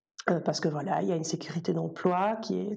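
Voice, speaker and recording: Noticeable background noise runs beneath a woman's fairly low-pitched voice. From Belgium. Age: 40s. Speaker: soprano singer and music teacher. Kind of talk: casual interview.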